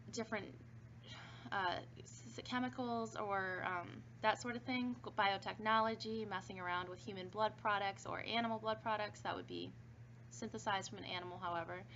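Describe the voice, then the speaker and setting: Over audible room echo, a woman with a fairly low pitch talks at a fairly quick pace, her pitch swinging very widely. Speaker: pharmacology instructor. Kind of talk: recorded online lecture. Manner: fast; casual with fillers.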